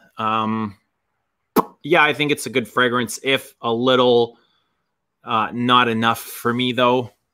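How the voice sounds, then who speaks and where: A man speaks at a fairly slow pace with long, frequent pauses. His tone is bright and sharp against a quiet background. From Canada. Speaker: fragrance YouTuber. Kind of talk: casual chat. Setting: video call. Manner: animated. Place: home room. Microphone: webcam.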